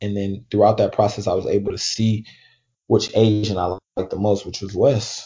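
Somewhat breathy and fairly low in pitch, a man speaks with monotone, flat intonation. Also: moderate pace. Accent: American. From Oakland, California. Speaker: college basketball player seeking pro contract. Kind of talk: podcast interview.

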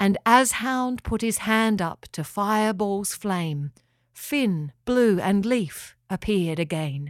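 Someone does plain reading aloud with lively intonation. The background is quiet.

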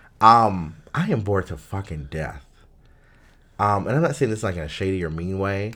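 A man with a normal speaking voice, fairly low in pitch, with lively intonation at a moderate pace. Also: very clean recording, silent background. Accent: American. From US South (Durham, North Carolina). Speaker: podcast co-host. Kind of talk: casual chat.

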